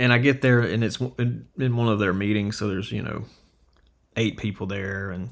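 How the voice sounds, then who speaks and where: Recorded very cleanly against a silent background, a man with an unremarkable speaking voice talks at a fairly quick pace with fairly even intonation. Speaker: videographer. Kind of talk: casual storytelling to camera.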